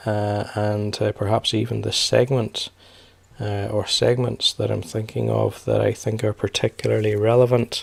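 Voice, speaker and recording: Very cleanly recorded against a silent background, a man speaks with a British accent. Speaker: personal finance youtuber. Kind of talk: casual vlog commentary. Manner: hesitant, many fillers.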